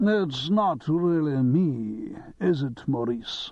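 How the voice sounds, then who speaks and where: At a very slow pace, a man puts on a character voice with a fairly high pitch. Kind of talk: theatrical, actorly. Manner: theatrical.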